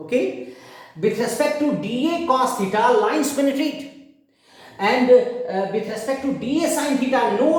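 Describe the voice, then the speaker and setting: A man with an Indian accent, extremely high-pitched and lively in intonation, talking at a fairly slow pace in audible room echo. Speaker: physics teacher. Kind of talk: lecture. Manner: loud; halting.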